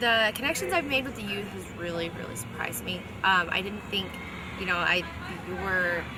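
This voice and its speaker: Someone with an American accent talks at a fairly quick pace with lively intonation, with audible room echo and noticeable background noise. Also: woman, medium pitch for a woman. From US West, Nevada (Reno). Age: 20s. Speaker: foster youth advocate, college student. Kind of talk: video blog, casual personal talk. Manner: hesitant, many fillers and restarts.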